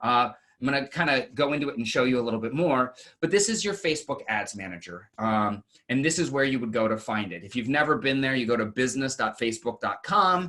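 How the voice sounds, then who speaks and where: His tone is bright and sharp, his pitch medium for a man. He talks at a very fast pace with lively intonation. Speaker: marketing panelist. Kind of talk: webinar presentation.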